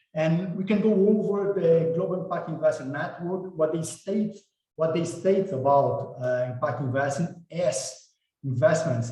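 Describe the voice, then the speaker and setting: A man with a Brazilian Portuguese accent speaks at a moderate pace and fairly high pitch, with ordinary pitch variation and audible room echo. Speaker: impact investment director and evaluator. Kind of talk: webinar presentation. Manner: halting, with repetitions.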